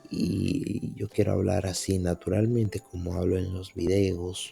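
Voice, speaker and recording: A man speaks in a very deep, low voice with music playing in the background. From Dominican Republic. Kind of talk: reflective podcast monologue.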